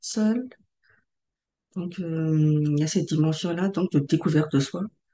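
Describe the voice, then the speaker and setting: This woman has a fairly low pitch and ordinary pitch variation. Her tone is dark and mellow, and somewhat breathy. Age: 30s. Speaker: transformation facilitator. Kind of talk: podcast interview. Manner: halting.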